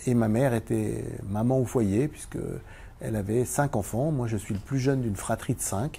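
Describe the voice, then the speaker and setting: There is a dark, mellow tone to this man's somewhat breathy voice, which sits at medium pitch with ordinary pitch variation and moves at a fairly slow pace. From eastern France (Vosges). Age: 60s. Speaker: former Paralympic table tennis champion and business owner. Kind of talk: interview. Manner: hesitant, many fillers.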